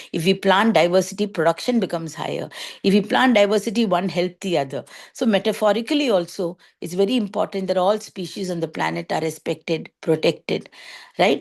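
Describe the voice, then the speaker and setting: A woman speaks with a Tamil accent at a fairly quick pace. Her pitch is medium, with ordinary variation. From India, Chennai. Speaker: organic farmer. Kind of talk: talk to students. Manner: halting, with fillers.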